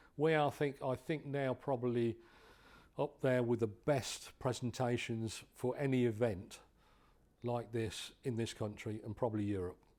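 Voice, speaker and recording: Speaking at a fairly slow pace, a man with an English accent has a medium pitch. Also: ordinary pitch variation. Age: 70s. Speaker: drag racing hall of fame chairman. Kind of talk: interview. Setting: hotel. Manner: halting, with frequent repetitions.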